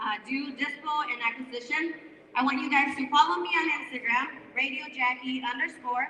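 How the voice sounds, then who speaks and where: A woman's high voice is raised and projected. Noticeable background noise can be heard around her. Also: ordinary pitch variation, moderate pace. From northern Mexico (Chihuahua). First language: Spanish. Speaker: radio host and real estate wholesaler. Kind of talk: speech to a live audience at a networking event. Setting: event room with live audience. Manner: animated.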